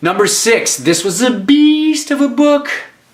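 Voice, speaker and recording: Audible room echo and noticeable background noise surround a man who speaks at a fairly slow pace. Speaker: actor and writer. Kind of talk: casual book review vlog. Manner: animated, many fillers and restarts.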